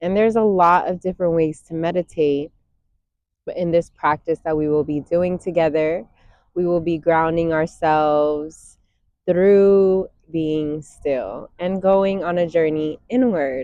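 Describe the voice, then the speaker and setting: Using an unremarkable speaking voice, a woman with a fairly low pitch talks at a fairly slow pace with fairly even intonation. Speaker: meditation guide. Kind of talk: guided meditation talk. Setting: outdoors. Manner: warm, calm, conversational.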